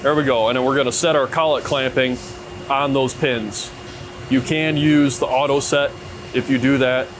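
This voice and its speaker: Noticeable background noise sits behind a man's voice. He speaks at a medium pitch with monotone, flat intonation. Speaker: machinist. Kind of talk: tutorial. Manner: casual; fast.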